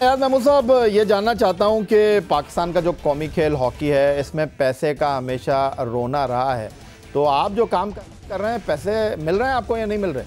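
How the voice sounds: A man speaks at a moderate pace in a high voice with a slightly mellow tone and ordinary pitch variation, with faint music in the background.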